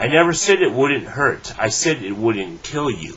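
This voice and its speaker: A man's put-on character voice at a moderate pace. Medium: read story. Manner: calm, grave, few words.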